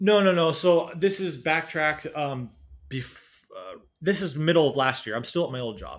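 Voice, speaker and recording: With a Pacific Northwest accent, a man speaks at a fairly high pitch with ordinary pitch variation. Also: moderate pace. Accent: American (Pacific Northwest). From US Pacific Northwest (Washington State, near Seattle). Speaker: traveler and YouTuber, former design engineer. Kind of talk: casual interview. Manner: hesitant, many fillers.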